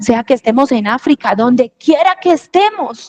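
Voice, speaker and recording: A woman's high voice at a fairly slow pace, dry and close with no echo. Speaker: preacher. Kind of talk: sermon.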